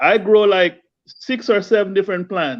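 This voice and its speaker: A man with a Jamaican accent speaks at a fairly slow pace and a high pitch. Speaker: home gardener, viewer of the channel. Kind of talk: casual chat.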